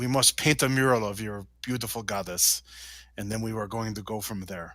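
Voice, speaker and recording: A put-on character voice on a very clean recording with a silent background. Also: man. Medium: actual play. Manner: grandiose.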